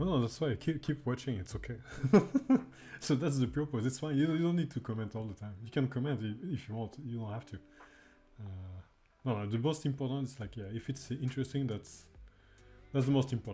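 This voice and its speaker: A man speaks at a fairly quick pace with long, frequent pauses. His somewhat breathy voice has a dark, mellow tone and ordinary pitch variation. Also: medium pitch for a man. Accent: French. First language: French. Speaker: indie game developer streamer. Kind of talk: live dev stream commentary. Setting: live stream with chat. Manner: halting, many fillers and repetitions; casual, chill.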